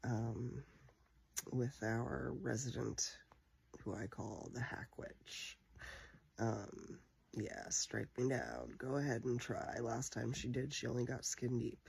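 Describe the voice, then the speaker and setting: Soft-spoken and very slow, a man speaks with long, frequent pauses. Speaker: vlogger telling personal story. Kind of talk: personal monologue. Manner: quiet, talking softly; hesitant, many fillers.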